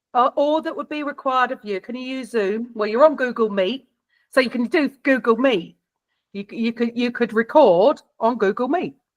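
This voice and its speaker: This woman has a high pitch and a South London accent, speaking at a moderate pace with ordinary pitch variation. Her loudness swings widely, and the sound is dry and close with no echo. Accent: British, South London. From South London, England. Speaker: podcast production expert. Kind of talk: workshop Q&A advice. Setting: video call.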